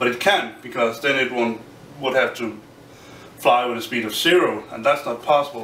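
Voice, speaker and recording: The speaker has a Danish accent and talks at a moderate pace, with audible room echo and light background noise. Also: man, ordinary pitch variation. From Denmark. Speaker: physics graduate student. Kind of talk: explainer tutorial; lecture. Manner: halting. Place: home room.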